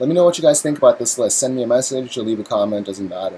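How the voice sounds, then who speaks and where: Over noticeable background noise, a man speaks quietly and very fast at a medium pitch with ordinary pitch variation. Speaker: YouTuber discussing card game news. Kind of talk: casual vlog. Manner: subdued, quiet; halting, many fillers.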